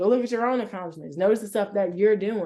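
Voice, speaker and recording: The speaker is a woman at medium pitch with an American accent. She has a normal speaking voice. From Chicago, US Midwest. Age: 20s. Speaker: sports media host and reporter. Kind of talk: interview.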